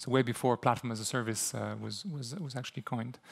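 In a French-Canadian accent, a man talks at a fairly quick pace with ordinary pitch variation against a quiet background. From Quebec. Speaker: software company CEO. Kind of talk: conference talk with live demo. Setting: stage with audience. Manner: hesitant, repeats words. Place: hall.

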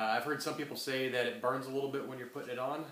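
A man's voice with audible room echo. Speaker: co-presenter, essential oils distributor. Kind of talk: educational class presentation. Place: home room. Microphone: webcam.

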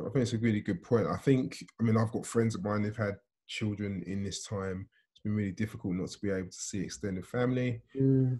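A man's fairly low, somewhat breathy voice with a dark, mellow tone and fairly even intonation, at a fairly quick pace against a quiet background. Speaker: conference host, pastor. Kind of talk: casual chat; host moderating Q&A. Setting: video call. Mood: warm, appreciative, calm. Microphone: video call.

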